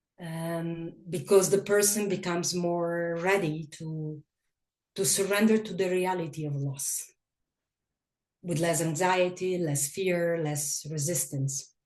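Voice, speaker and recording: A woman with a non-native accent, fairly low pitch, fairly even intonation, and a very slow pace. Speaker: grief workshop teacher. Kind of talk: workshop talk. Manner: halting, with repetitions.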